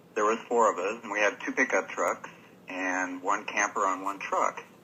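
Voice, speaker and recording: The speaker has an American accent and fairly even intonation. Noticeable background noise is present. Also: man. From Washington State, USA. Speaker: radio show caller. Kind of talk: telling a scary personal story on a call-in show. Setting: phone line.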